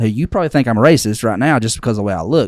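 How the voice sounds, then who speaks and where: A man is speaking. He has a slight Southern US accent. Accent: slight Southern twang. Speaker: podcast co-host. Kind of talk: casual chat. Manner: fast; animated.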